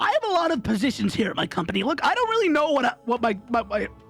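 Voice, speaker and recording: A man speaks in a put-on character voice at an extremely high pitch and a very fast pace. Faint music plays in the background. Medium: virtual streamer. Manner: goofy, boastful, rambling.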